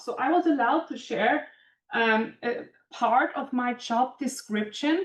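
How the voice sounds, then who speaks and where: A woman's high-pitched voice shows ordinary pitch variation. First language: German. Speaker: composites industry manager and engineer. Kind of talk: career talk to students.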